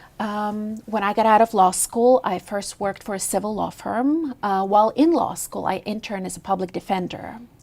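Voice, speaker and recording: A woman with a Russian accent speaks at a medium pitch and moderate pace, with ordinary pitch variation and hardly any pauses. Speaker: lawyer and judicial candidate. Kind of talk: TV interview.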